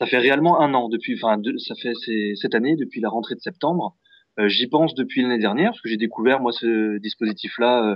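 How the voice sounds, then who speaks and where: Speaking with ordinary pitch variation, a man uses a medium pitch and keeps up a fairly quick pace. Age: 20s. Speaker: music teacher. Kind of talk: interview. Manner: hesitant, many fillers.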